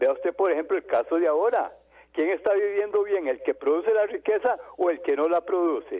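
At a moderate pace, a man delivers his words. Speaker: caller. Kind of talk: phone-in call. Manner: formal.

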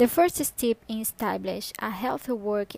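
A woman with a Brazilian Portuguese accent, recorded with a dry, close sound and no echo. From northern Brazil (Pará). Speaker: executive assistant. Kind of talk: scripted podcast monologue.

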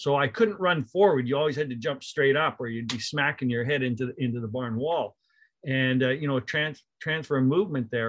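Talking at a fairly quick pace, this man keeps a medium pitch and ordinary pitch variation. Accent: Canadian Prairies. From Canada, rural Manitoba near Winnipeg. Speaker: college basketball coach. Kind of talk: casual interview.

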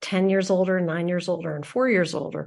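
A woman with an American accent. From Philadelphia, US. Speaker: public radio host. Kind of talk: interview.

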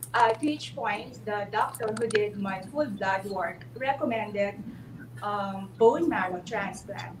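Very slow speech from a woman at a medium pitch, with very wide pitch swings, audible room echo and noticeable background noise. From Philippines. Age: 40s. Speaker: lawyer. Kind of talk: testimony.

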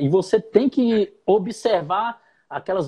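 A man speaks in a dark, mellow tone. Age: 30s. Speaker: podcast host and rapper. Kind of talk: interview.

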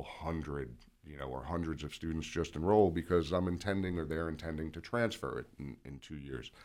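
Very deep, low-pitched man with vocal fry, ordinary pitch variation and a fairly quick pace. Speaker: college instructor. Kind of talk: interview. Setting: studio.

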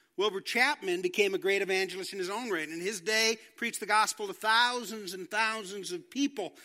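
The voice is raised and projected, bright and sharp in tone, moving at a fairly quick pace with hardly any pauses. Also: man, high pitch for a man, ordinary pitch variation. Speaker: pastor. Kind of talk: sermon. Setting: church.

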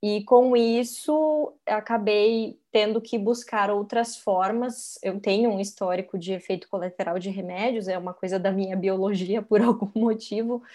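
Against a quiet background, a woman at a medium pitch talks at a fairly slow pace with hardly any pauses, using fairly even intonation and a dark, mellow tone. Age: 30s. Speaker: meditation teacher. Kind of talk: casual chat.

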